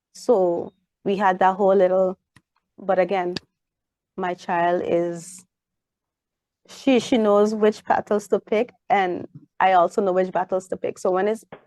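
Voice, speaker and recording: A woman speaks at a fairly slow pace with long, frequent pauses, her pitch medium and her intonation flat and monotone. Her tone is dark and mellow, and the sound is dry and close with no echo. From Saint Martin. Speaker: parent. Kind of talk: interview. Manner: casual conversational.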